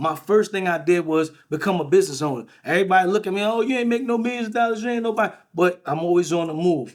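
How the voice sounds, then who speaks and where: A very fast pace with ordinary pitch variation. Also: man. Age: 40s. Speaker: life coach and business owner. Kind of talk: casual chat.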